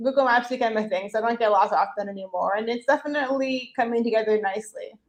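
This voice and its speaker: Talking at a very fast pace, a woman with an American accent and a fairly high pitch shows ordinary pitch variation. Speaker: chef and cookbook author. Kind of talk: interview.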